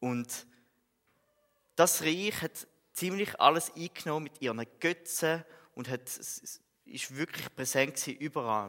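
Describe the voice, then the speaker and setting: Pausing long and often, a man with a fairly high pitch speaks very slowly, his intonation lively and his loudness shifting in big swings. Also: dry, close sound with no echo. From Switzerland, Frauenfeld (Thurgau). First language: Swiss German (speaking German). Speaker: theology student and lay preacher. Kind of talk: sermon. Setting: church.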